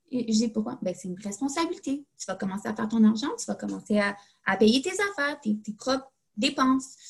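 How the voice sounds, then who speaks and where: A woman speaks in a Quebec accent with lively intonation. Her voice is somewhat breathy and fairly high in pitch. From Quebec, Laval. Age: 20s. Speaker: graduate student. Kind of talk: casual chat.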